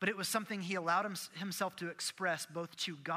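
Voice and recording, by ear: The speaker is reading aloud in a natural voice, keeping the intonation fairly even.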